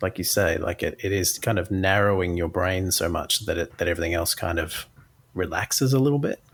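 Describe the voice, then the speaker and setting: With lively intonation, a somewhat breathy man talks at a fairly quick pace. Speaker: podcast host. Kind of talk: casual interview.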